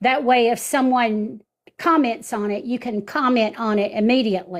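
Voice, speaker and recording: Ordinary pitch variation comes through at a moderate pace. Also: woman, fairly high pitch for a woman. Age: 60s. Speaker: social media live-stream host. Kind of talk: live-stream chat with viewers. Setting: home studio set up in living room. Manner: animated.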